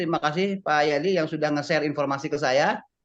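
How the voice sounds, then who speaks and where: A man speaks in a normal speaking voice, fairly high in pitch, with fairly even intonation. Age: 60s. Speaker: business network member giving testimony. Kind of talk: testimony.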